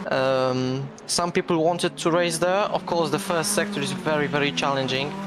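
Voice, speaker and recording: Against noticeable background noise, a man with a Polish accent talks with hardly any pauses and very even loudness. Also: fairly high pitch for a man, ordinary pitch variation, moderate pace. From Poland. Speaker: sim racing commentator and league organizer. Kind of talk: live commentary. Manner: halting.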